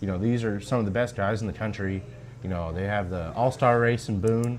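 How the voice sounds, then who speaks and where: A man with an ordinary speaking voice talks at a fairly quick pace, his fairly low pitch held to fairly even intonation. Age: 20s. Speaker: race car driver. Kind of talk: casual interview.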